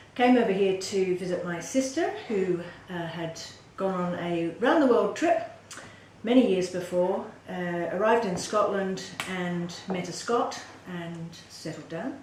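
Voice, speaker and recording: A woman's medium-pitched voice with ordinary pitch variation, audible room echo, and noticeable background noise. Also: fairly slow pace. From Western Australia (Perth). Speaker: political candidate. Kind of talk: interview.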